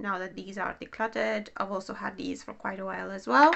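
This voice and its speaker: With a non-native accent, the woman delivers her words. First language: not English. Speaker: beauty vlogger. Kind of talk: casual monologue, product review. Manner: halting, many fillers; not fluent, pauses to think.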